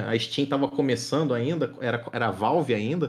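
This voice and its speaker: An unremarkable speaking voice, this man talks at medium pitch and a moderate pace with ordinary pitch variation. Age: 30s. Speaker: streamer. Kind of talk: casual chat.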